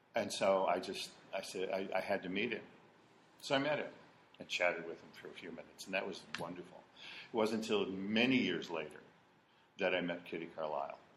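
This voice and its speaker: In an American accent, a man with a fairly low pitch speaks with big swings in loudness and long, frequent pauses, and audible room echo surrounds his voice. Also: ordinary pitch variation. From Ohio. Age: 60s. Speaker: war veteran. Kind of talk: oral history interview. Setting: in-person interview. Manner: halting.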